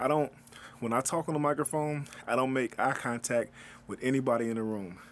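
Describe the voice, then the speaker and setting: His pitch is medium for a man, varying in an ordinary way. He keeps up a fairly quick pace. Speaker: DJ. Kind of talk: casual talk to camera. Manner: casual, halting.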